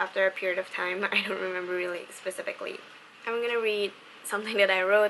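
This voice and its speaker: Amid noticeable background noise, a woman speaks at a very fast pace with flat, monotone intonation. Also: medium pitch for a woman. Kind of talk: book review talk to camera. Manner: monotonous.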